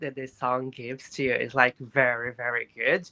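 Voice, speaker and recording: The speaker has a Portuguese accent. The pace is fairly slow. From Brazil. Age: 20s. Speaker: panelist. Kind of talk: casual panel discussion.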